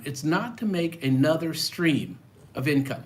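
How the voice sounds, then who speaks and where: This man speaks at a fairly slow pace. Room echo is audible. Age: 60s. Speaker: personal finance YouTuber. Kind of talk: live stream talk to viewers. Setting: live stream. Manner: casual, with fillers.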